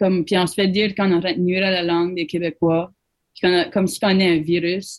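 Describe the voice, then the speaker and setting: In a New Brunswick Acadian accent, the speaker talks at a very fast pace with monotone, flat intonation. The loudness swings widely. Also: woman, medium pitch for a woman. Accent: Acadian chiac, unchanged. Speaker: musician. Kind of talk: interview. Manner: mixes English into French.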